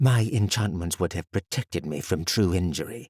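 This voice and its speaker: In a put-on character voice, a man growls at a moderate pace in a very deep, low pitch, on a very clean recording with a silent background. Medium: read story. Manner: formal, stiff, dignified.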